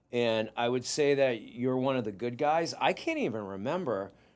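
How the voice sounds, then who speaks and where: With a Boston accent, a man at a medium pitch speaks in a very clean recording with a silent background. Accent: Boston-area New England. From Massachusetts, Whitman. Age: 50s. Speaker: podcast host and private investigator. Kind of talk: casual interview chat.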